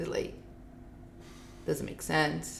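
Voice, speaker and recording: With a Portuguese accent, a woman speaks in a bright, sharp tone with vocal fry. Audible room echo surrounds her. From Brazil, Rio de Janeiro. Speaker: filmmaker. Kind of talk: interview. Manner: animated.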